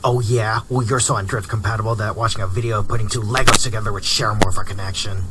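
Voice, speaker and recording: A man does a put-on character voice at medium pitch and a very fast pace. Loud background noise fills the recording. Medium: audio drama. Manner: teasing, combative.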